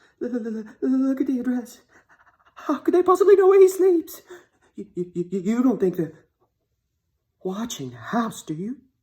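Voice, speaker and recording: A put-on character voice, shaky and fairly high, swings very widely in pitch. It moves at a moderate pace with long, frequent pauses. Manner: frightened.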